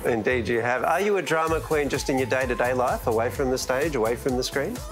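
Clear music plays in the background as the speaker races along at a very fast pace with ordinary pitch variation. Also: man, medium pitch for a man. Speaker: TV host. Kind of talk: TV interview questions. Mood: playful, smiling. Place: studio. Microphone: lapel.

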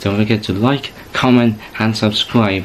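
Background noise is noticeable here. A man speaks at a moderate pace. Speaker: YouTube channel host. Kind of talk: casual vlog chat. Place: home room. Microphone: webcam.

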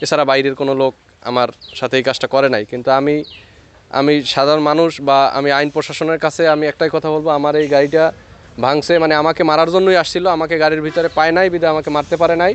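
A man with an ordinary speaking voice talks at a fairly high pitch, keeping very even loudness and fairly even intonation. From Bangladesh, rural union. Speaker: driver, victim of vandalism. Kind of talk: interview testimony.

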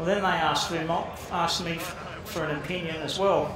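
A man talks at a moderate pace and high pitch with fairly even intonation. Noticeable background noise and audible room echo surround him. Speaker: speaker. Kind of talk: informal talk to an audience. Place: hall. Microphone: headset.

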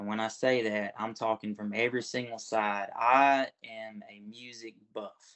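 In a Southern US accent, a man with a medium pitch speaks with fairly even intonation against a quiet background. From Florida Panhandle. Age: 20s. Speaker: talent show contestant. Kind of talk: interview. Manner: casual. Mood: warm, earnest. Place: home room. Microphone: video call.

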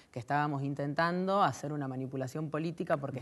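This woman's voice sits at a very deep, low pitch. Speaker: youth political activist; guest. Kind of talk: panel discussion. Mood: earnest, engaged. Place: studio.

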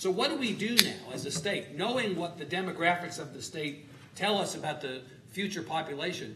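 A high-pitched man talks at a fairly quick pace with big swings in loudness. Noticeable noise sits in the background. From Texas. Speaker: moderator of panel discussion. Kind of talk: moderated panel discussion. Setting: stage with live audience. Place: stage. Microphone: lapel.

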